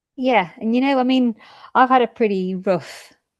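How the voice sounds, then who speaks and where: Lively intonation and a British accent carry through at a fairly slow pace, with a dry, close sound with no echo and a quiet background. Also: woman. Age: 50s. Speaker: midwife. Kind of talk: testimony.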